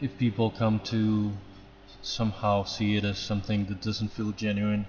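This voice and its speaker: A man with a non-native accent talks at a moderate pace in a fairly low, somewhat breathy voice. His intonation is monotone and flat. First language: not English. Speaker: 3D artist streamer. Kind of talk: casual live stream chat.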